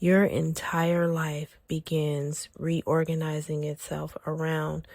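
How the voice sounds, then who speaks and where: Very slow and monotone with flat intonation, a woman speaks in a very deep, low, somewhat breathy voice with a dark, mellow tone. The sound is dry and close with no echo. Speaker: spiritual healing podcast host. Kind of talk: guided spiritual podcast narration over a soundscape. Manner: soft, gentle, calming.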